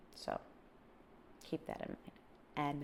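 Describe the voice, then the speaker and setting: A woman speaks in an upbeat tone. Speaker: travel vlogger. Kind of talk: casual talk to camera. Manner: upbeat, chatty.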